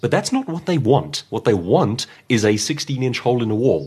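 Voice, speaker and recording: Against a quiet background, a man of medium pitch talks at a moderate pace with vocal fry and very wide pitch swings. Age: 30s. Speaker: professional speaker and author. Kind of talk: interview conversation. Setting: at his home.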